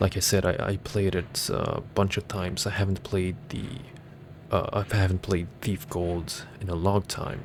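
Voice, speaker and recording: In a non-native accent, a man speaks at a fairly slow pace with a very deep, low voice, fairly even intonation and a somewhat breathy quality. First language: not English. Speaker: gaming YouTuber. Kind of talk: ASMR gameplay commentary. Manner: soft-spoken; halting.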